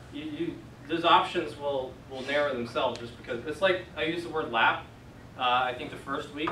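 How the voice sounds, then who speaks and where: Audible room echo around a man with an American accent, fairly high in pitch, at a moderate pace and with ordinary pitch variation. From West Virginia. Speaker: Greek class teacher. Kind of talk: classroom teaching. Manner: casual, conversational.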